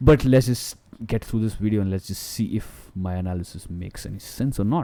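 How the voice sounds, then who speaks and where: In a dark, mellow tone, a man speaks very fast. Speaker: crypto market analyst. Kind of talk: chart analysis commentary. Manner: halting, stuttering; casual, chatty.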